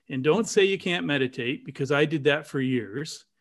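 A man with a Canadian accent talks in an ordinary speaking voice, fairly high in pitch, with lively intonation. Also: very clean recording, silent background. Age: 60s. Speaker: dowser and spiritual teacher. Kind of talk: casual interview chat.

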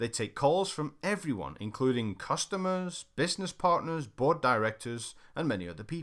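On a very clean recording with a silent background, a man with a fairly high pitch and very wide pitch swings talks at a moderate pace with hardly any pauses. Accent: British. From Britain. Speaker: sales trainer. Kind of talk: reading aloud.

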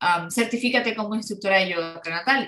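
A woman's voice with ordinary pitch variation. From Venezuela, Ciudad Ojeda near Maracaibo. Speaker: yoga instructor. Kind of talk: interview. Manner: halting, many fillers.

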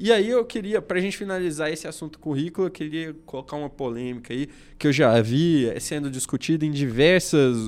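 A man with a normal speaking voice, fairly high pitch, lively intonation and a fairly quick pace. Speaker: podcast host, lawyer. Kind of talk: casual chat. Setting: studio.

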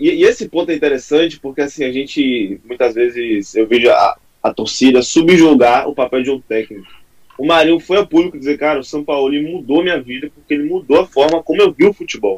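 This man has an ordinary speaking voice, pitched fairly high, moving at a fairly quick pace with ordinary pitch variation in a dry, close sound with no echo. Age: young. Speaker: fan channel creator. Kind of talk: casual chat.

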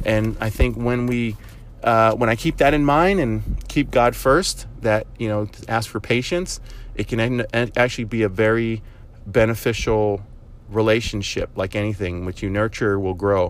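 A man's normal speaking voice, fairly slow in pace, with ordinary pitch variation. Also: medium pitch for a man. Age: 40s. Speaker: podcast host. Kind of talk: casual monologue. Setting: in a car.

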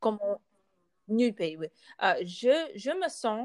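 A woman's voice moves through very wide pitch swings, the sound dry and close with no echo. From United States. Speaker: podcast host, student. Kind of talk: casual chat. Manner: halting, many hesitations.

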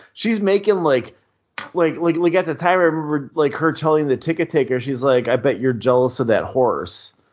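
In an ordinary speaking voice, a man talks at a fairly high pitch with ordinary pitch variation. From US Midwest, Milwaukee, Wisconsin. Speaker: podcast co-host, former indie wrestler. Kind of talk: casual chat.

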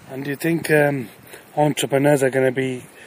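Against noticeable background noise, a man talks at a medium pitch and a fairly quick pace. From Britain. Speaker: podcast host, entrepreneur and coach. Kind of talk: casual interview. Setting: outdoors.

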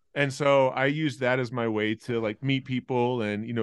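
An unremarkable speaking voice with a General American accent moves at a moderate pace with fairly even intonation over a quiet background. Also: man. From Australia, then Colorado. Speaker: comedian and graphic designer. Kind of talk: casual chat.

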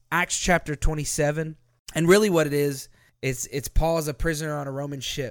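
Heard in a very clean recording with a silent background, a man with an ordinary speaking voice and a fairly high pitch talks at a fairly quick pace with fairly even intonation. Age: 20s. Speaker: pastor. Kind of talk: sermon; casual chat.

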